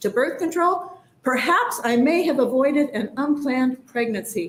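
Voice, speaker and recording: A high-pitched woman with a Midwestern US accent, fairly quick pace and lively intonation, against noticeable background noise. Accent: US Midwest. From rural Nebraska. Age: 60s. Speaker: public hearing testifier. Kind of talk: testimony.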